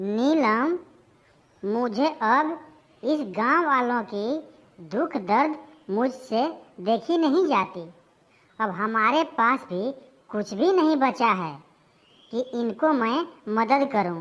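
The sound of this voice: A cartoonish character voice makes very wide pitch swings at a very slow pace. Long, frequent pauses break up the speech. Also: woman, high pitch for a woman.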